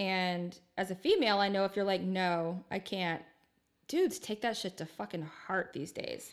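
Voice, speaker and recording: A woman's medium-pitched voice at a moderate pace with fairly even intonation. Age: 30s. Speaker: podcast co-host. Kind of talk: casual chat.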